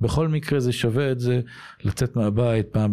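A man's dark, mellow voice with ordinary pitch variation, on a very clean recording with a silent background. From Israel, Ramat HaSharon. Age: 50s. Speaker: former tennis pro and tennis coach. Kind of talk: interview.

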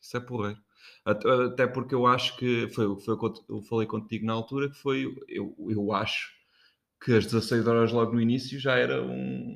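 At a moderate pace, a man talks in a plain, everyday voice of medium pitch with fairly even intonation. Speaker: podcast co-host. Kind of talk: casual chat. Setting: kitchen.

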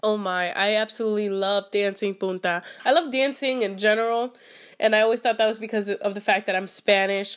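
An ordinary speaking voice from a woman with an American accent, fairly high in pitch, fairly even in intonation and fairly quick in pace. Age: 20s. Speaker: guest. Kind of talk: casual interview.

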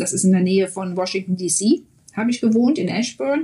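A woman with a dark, mellow, somewhat breathy tone speaks at a moderate pace with ordinary pitch variation. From Germany, Mönchengladbach (Lower Rhine). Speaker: German expat in the US. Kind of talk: interview.

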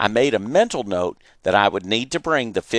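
The speaker uses a natural reading voice. It carries through from start to finish.

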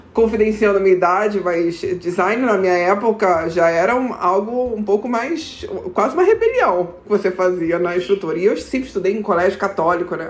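Speech moves at a moderate pace with ordinary pitch variation while noticeable background noise runs underneath. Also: woman. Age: 30s. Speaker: corporate manager. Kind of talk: casual interview.

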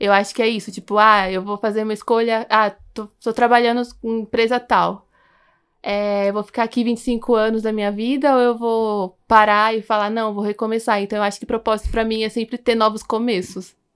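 In a very clean recording with a silent background, a woman speaks at a moderate pace with a fairly high pitch and a monotone, flat intonation. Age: 20s. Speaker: journalism graduate. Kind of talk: casual chat.

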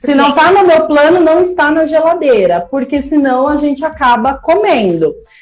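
Against noticeable background noise, a woman with a high pitch talks with very wide pitch swings, very even loudness and hardly any pauses. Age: 30s. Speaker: educational psychologist sharing weight-loss story. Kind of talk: casual chat. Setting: live stream. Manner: animated.

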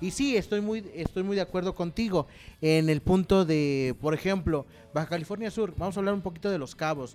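A man with a high pitch speaks fairly quickly, showing ordinary pitch variation. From Mexico, not from San Luis Potosí. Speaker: podcast host. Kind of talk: sponsor plug; casual interview chat.

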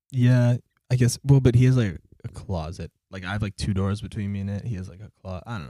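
A man speaks very fast in a fairly low voice with a dark, mellow tone. The sound is dry and close with no echo, and his pitch varies normally while his loudness swings widely. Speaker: podcast co-host. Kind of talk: casual chat. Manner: loud at times.

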